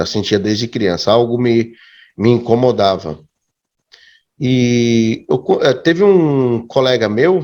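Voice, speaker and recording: A man at medium pitch with a dark, mellow tone, lively intonation and very even loudness, talking at a very slow pace with long, frequent pauses. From Brazil, Santo André (São Paulo area). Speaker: youtuber and evangelical believer. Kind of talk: interview testimony. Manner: halting, with repetitions.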